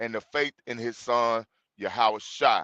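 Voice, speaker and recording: With a Mississippi accent, a man talks at a fairly slow pace, the sound dry and close with no echo against a quiet background. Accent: Southern, says 'fire' the Mississippi way. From Mississippi, US South. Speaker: Bible study group leader, livestream host. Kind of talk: livestream introduction to a Bible lesson. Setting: livestream. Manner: casual, conversational.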